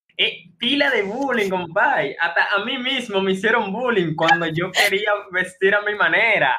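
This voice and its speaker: A man's raised, projected voice, high in pitch, animated in tone, with ordinary pitch variation, a fairly slow pace and hardly any pauses. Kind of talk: casual chat.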